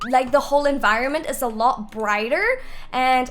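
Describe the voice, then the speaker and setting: Faint music plays behind a woman with a fairly high pitch and an animated tone. She talks at a moderate pace with ordinary pitch variation. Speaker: gaming youtuber. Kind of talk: gameplay tutorial. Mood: upbeat, casual. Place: home room.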